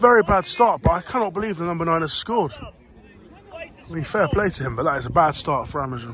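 Shouting at a very fast pace, the speaker sounds animated with lively intonation, in a dry recording with no echo and light background noise. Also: man, high pitch for a man. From England. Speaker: football vlogger and fan. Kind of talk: sports vlog, with live-commentary-style reactions to the match. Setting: outdoors at a football ground. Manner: excitable, animated, shouting in real time at goals and chances; casual, chatty, swears. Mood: excited, frustrated about game. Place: open country. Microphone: phone near.

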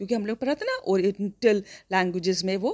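With a dry, close sound and no echo, a woman's plain, everyday voice carries lively intonation at a medium pitch. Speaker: school English teacher. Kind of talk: lecture.

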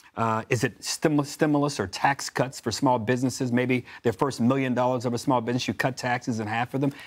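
Speaking with an American accent, a man keeps a fairly quick pace and fairly even intonation, with hardly any pauses and a quiet background. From US South, Memphis; Tennessee. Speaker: political commentator. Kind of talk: panel discussion. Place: studio. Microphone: lapel.

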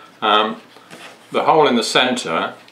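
A man is talking. His pace is fairly slow. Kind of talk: tutorial.

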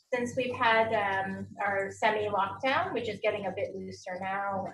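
A woman talks at a moderate pace while noticeable background noise runs underneath. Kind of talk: tutorial. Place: kitchen. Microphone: camera far.

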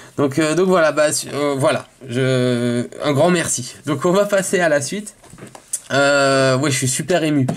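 A man's fairly high voice at a very slow pace, with ordinary pitch variation and noticeable background noise. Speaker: YouTuber opening Pokémon cards. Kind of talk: casual vlog to camera. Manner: hesitant, many fillers.

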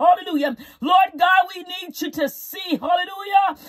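A woman speaks at a moderate pace. The background is quiet. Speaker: prayer leader. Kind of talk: fervent live-streamed prayer, intercessory, with repeated hallelujahs. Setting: live stream to online audience. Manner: impassioned, pleading, rhythmic repetition, rising intensity; commanding and declarative when rebuking. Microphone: phone near.

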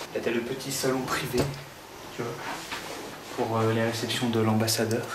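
A man at a moderate pace over loud background noise. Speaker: vlogger. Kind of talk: casual vlog chat. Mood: playful, mock-posh tour. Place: home room. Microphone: phone near.

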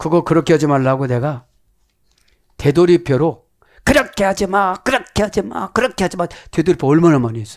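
A man with a fairly high voice talks at a fairly quick clip, his animated delivery full of very wide pitch swings. He leaves long, frequent pauses against a quiet background. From South Korea. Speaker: pastor. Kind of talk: sermon. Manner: animated, preaching. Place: studio. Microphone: headset.

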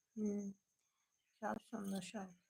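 Slowly, a woman speaks in a dark, mellow tone with a slightly husky edge, vocal fry and little pitch movement. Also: medium pitch for a woman.

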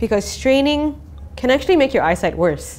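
Music plays in the background. A woman speaks at a fairly quick pace. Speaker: presenter. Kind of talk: explainer narration. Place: studio. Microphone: lapel.

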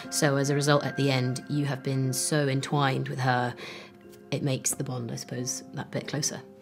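The speaking moves at a moderate pace while clear music plays behind it. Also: woman, very deep, low pitch for a woman. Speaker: actress. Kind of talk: interview answer. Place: hall.

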